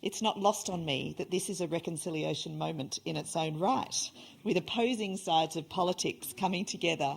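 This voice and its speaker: With an Australian accent and some vocal fry, a woman talks at a fairly quick pace with ordinary pitch variation. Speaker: event host, reconciliation organisation leader. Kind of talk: event introduction speech. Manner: hesitant, many fillers.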